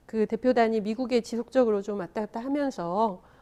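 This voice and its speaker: With a dark, mellow tone, a woman speaks at a fairly high pitch with ordinary pitch variation. Her pace is moderate and the background quiet. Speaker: lawmaker and party spokesperson. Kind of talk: casual talk show chat. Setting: live internet broadcast studio.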